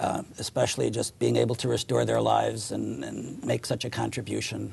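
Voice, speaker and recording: There is noticeable background noise in this clip. A man with an American accent and a very deep, low pitch talks at a moderate pace. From Chicago area, US. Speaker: orthopedic surgeon. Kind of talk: interview.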